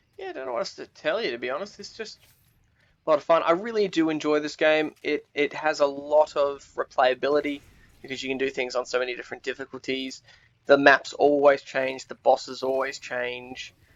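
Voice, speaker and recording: A man speaks with an Australian accent. His pitch moves in an ordinary way. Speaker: gaming video creator. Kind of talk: gameplay commentary. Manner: hesitant, many fillers.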